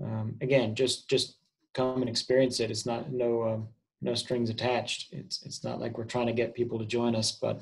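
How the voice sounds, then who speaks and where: Somewhat breathy, a man of medium pitch talks in a flat monotone with an American accent. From England. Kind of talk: interview.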